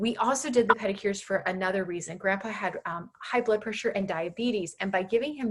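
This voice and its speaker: This woman talks at a fairly quick pace in an American accent, her pitch medium with ordinary variation. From Southern California. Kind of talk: presentation. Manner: fast; animated.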